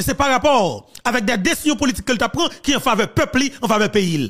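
Talking at a very fast pace, a man with a Haitian accent uses an extremely high pitch and lively intonation. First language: Haitian Creole (speaking French). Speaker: political commentator. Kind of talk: political commentary.

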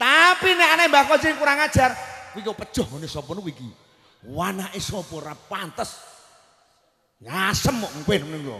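A man with a high voice for a man projects it in a raised, animated tone at a fairly quick pace, with very wide pitch swings, big swings in loudness and long, frequent pauses, audible room echo and a quiet background. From Central Java, Kudus; Central Java. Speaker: Islamic preacher. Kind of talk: sermon. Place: stage. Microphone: handheld.

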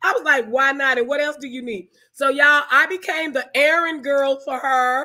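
A woman's raised, projected voice, bright and sharp in tone, at a moderate pace. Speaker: online talk show host, film organization founder. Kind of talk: live-streamed interview. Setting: video call livestream. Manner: animated.

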